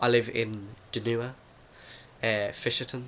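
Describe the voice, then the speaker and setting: This man talks at a medium pitch. His intonation is flat and monotone. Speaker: vlogger. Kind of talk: casual vlog talk. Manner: hesitant, many fillers.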